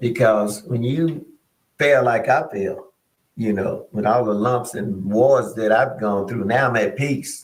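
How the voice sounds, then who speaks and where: Audible room echo surrounds a man's somewhat breathy voice. He speaks at a fairly slow pace. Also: medium pitch for a man, ordinary pitch variation. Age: 60s. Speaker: pastor. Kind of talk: casual chat.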